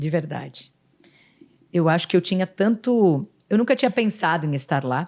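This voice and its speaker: Her tone is animated. The woman's pitch rises and falls very widely. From Rio Grande do Sul, Brazil. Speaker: city councillor and former TV news presenter. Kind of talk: podcast interview.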